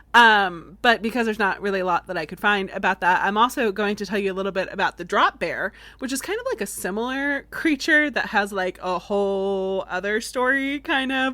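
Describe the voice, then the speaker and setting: With a slight Southern US accent, a woman uses a bright, sharp tone, lively intonation and a moderate pace on a very clean recording with a silent background. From Florida, US. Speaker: podcast host. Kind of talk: casual podcast storytelling. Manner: conversational with many fillers.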